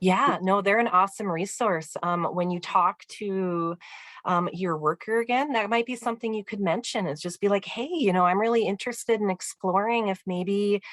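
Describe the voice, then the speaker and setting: A woman speaks at a moderate pace in a medium pitch with ordinary pitch variation. The sound is dry and close, with no echo. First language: not English. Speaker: vocational rehabilitation counselor. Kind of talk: webinar Q&A answer. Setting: online webinar. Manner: hesitant with frequent fillers.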